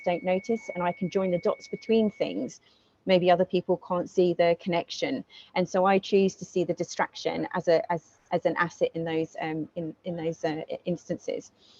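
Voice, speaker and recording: A woman with a fairly low pitch speaks with ordinary pitch variation, and the sound is dry and close with no echo. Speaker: guest speaker, project manager. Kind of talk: presentation talk. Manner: fast; speeds up when passionate.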